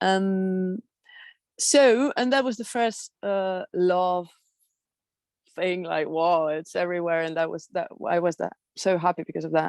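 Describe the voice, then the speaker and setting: A woman with a Spanish accent at medium pitch, fairly slow with long, frequent pauses and ordinary pitch variation, in a dry, close sound with no echo. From Spain. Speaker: airline pilot sharing experiences. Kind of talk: personal testimony in group video meeting. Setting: video call. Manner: halting, many fillers.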